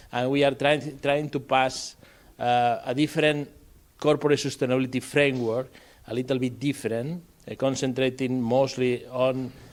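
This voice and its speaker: A man speaks at a moderate pace and medium pitch with monotone, flat intonation. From Spain. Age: 60s. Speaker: professor. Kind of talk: lecture. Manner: halting, with many fillers and repetitions.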